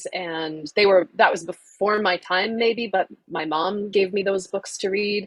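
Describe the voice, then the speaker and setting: In an American accent, a woman talks at a fairly slow pace with an ordinary speaking voice and ordinary pitch variation. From southern Idaho, USA. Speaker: audiobook narrator. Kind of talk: interview answer.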